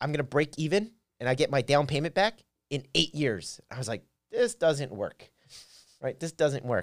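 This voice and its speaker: A man with an American accent has a normal speaking voice at a fairly high pitch. He talks at a fairly quick pace with ordinary pitch variation. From Philadelphia, US. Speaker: real estate investor. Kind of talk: casual chat.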